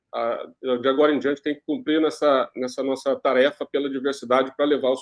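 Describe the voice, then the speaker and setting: A man at a fairly quick pace, in a monotone, flat intonation. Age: 60s. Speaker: journalist and executive producer. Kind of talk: panel discussion.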